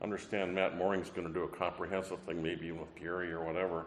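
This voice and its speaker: Against audible room echo, a man with a very deep, low pitch talks at a very fast pace. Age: 60s. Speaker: professor. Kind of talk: panel talk. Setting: convention stage with audience.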